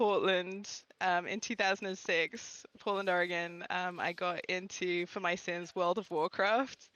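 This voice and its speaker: A woman speaks with an English accent. Her intonation stays fairly even. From England. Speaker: gaming content creator. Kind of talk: live podcast chat.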